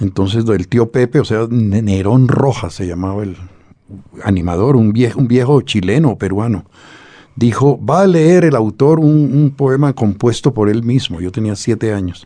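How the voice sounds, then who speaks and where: A man with a Bogotá accent speaks fairly slowly in a medium pitch, his tone dark and mellow and his intonation lively. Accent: Bogotá accent, Santa Marta barely heard. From Colombia, Bogotá. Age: 60s. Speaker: poet and novelist. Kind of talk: interview.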